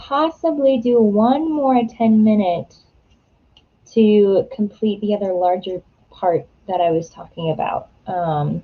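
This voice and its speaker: A woman talks with a somewhat breathy voice. Her pitch sits fairly high. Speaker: writer livestreaming writing sprints. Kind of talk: casual livestream chat. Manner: animated.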